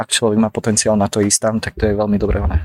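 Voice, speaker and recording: This man's medium-pitched voice has a dry, close sound with no echo. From Slovakia (Dolný Kubín). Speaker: painter and art student. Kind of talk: casual chat. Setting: café in Prague.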